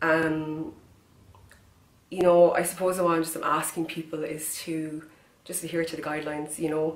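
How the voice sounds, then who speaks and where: A woman in a Kerry accent speaks in a very deep, low voice with flat, monotone intonation. Noticeable background noise and audible room echo surround her. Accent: Kerry Irish. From Ireland, County Kerry. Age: 20s. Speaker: person with cystic fibrosis making a public appeal. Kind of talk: direct-to-camera appeal. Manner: halting with fillers.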